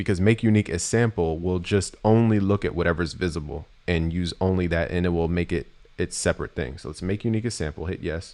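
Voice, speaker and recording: A man with a very deep, low pitch speaks at a very fast pace. His pitch varies in an ordinary way against a quiet background. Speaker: music producer teaching beat making. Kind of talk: live-stream tutorial. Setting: live stream.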